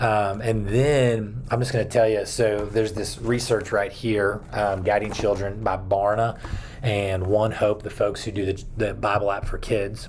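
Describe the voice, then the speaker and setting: Noticeable background noise and audible room echo surround this recording. A man speaks at a fairly slow pace with a fairly low pitch, and his intonation is monotone and flat. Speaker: children's pastor. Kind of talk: video talk to fellow children's ministry leaders. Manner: casual, many fillers.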